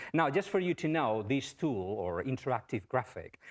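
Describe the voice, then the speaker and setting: A man speaks with a strong Spanish accent. His pace is fairly quick, and the background is quiet. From Spain. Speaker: professor. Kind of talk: lecture.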